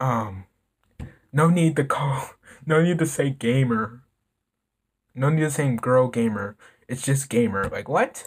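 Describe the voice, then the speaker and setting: A man talks at a fairly slow pace with long, frequent pauses, a somewhat breathy voice and ordinary pitch variation against a quiet background. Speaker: reaction video host. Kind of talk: casual reaction commentary. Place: home room.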